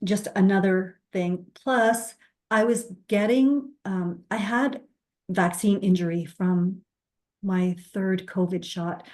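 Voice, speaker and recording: A woman speaks at a very slow pace with a medium pitch. Her pitch varies in an ordinary way. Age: 60s. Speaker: recovery story guest. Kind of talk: testimony.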